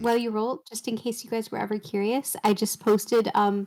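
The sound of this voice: A woman talks at a fairly quick pace in a fairly high pitch, her tone slightly mellow and her pitch moving little.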